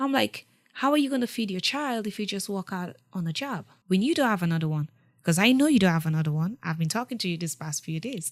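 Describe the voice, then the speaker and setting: A woman with a strong West African accent, medium pitch, very wide pitch swings and an animated tone, at a very fast pace in a very clean recording with a silent background. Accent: thick West African. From Sierra Leone. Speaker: war refugee. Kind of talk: interview.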